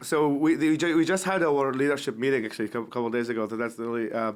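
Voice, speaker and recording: Talking very fast, the man holds a medium pitch and varies it in an ordinary way. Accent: Iraqi. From Iraq, West Baghdad. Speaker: human rights activist, nonprofit founder. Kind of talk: podcast interview. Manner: halting, many repetitions.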